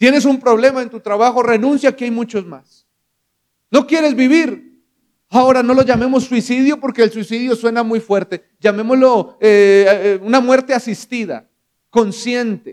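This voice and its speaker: In an animated tone, a man with an extremely high pitch speaks at a fairly slow pace. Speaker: preacher. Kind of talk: sermon. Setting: church. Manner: direct, exhorting the congregation.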